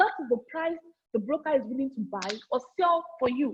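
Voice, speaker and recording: A loud woman's voice, high-pitched, at a moderate pace with very wide pitch swings. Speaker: forex trading trainer. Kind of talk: online training session. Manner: repetitive.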